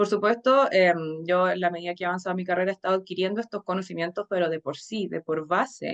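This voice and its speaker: In a dry, close sound with no echo, a woman talks at a very fast pace with hardly any pauses, at medium pitch and with ordinary pitch variation. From Chile, Santiago. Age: 30s. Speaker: tarot reader and teacher. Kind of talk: conference talk. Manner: hesitant with frequent fillers.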